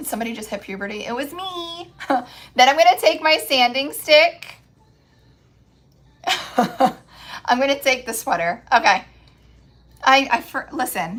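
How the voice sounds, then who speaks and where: The recording is very clean, with a silent background. A woman speaks at a high pitch with very wide pitch swings. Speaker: craft livestreamer. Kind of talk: live stream craft demo. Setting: live stream. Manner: casual chatty; voice cracking.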